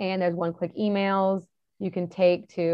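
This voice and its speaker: The speaker is a woman with a medium pitch. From Texas. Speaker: environmental nonprofit director. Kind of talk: radio interview.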